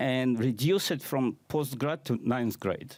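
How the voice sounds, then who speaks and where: Medium pitch from a man, captured on a very clean recording with a silent background. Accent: non-native. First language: not English. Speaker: conference speaker, AI consultant. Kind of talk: conference talk.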